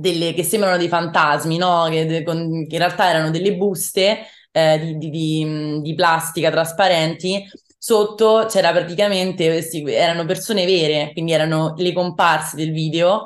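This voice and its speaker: The woman's voice sits fairly low for a woman. She keeps a moderate pace and fairly even intonation. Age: young. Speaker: rock singer-songwriter; interviewee. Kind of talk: interview. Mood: cheerful, smiling. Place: home room. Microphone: video call.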